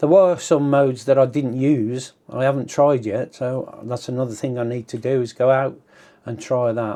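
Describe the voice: At a moderate pace, a man talks in a medium pitch with a dark, mellow tone and fairly even intonation.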